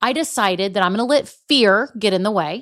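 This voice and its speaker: In a very clean recording with a silent background, a woman with a slight Southern US accent speaks in an animated tone with lively intonation. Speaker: business podcast host. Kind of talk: solo podcast monologue.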